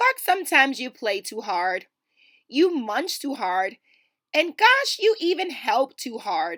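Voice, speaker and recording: In a put-on character voice, a woman speaks high for a woman at a fairly slow pace, her pitch swinging very widely. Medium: read story. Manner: gentle, patient.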